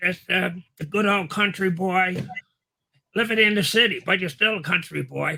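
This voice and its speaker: Using a raised, projected voice, a man with a high pitch speaks at a moderate pace with fairly even intonation and long, frequent pauses. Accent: American. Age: 80s+. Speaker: biker magazine founder and writer. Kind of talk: interview. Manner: casual, conversational.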